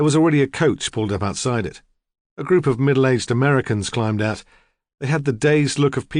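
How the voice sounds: Here is a natural reading voice with ordinary pitch variation. Behind it, the background is quiet.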